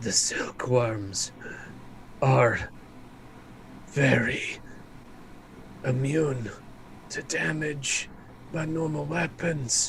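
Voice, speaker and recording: A raspy put-on character voice from a man at a medium pitch, with lively intonation, a very slow pace, long, frequent pauses and clear background noise. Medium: actual play. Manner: measured, explanatory.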